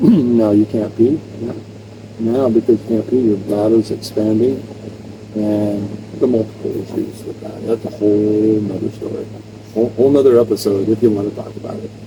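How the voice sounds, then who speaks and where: Against noticeable background noise, a man speaks with a fairly low pitch and monotone, flat intonation at a moderate pace, his loudness swinging widely. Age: 60s. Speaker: retired volunteer fire chief. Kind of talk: casual chat. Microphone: poor audio from early equipment.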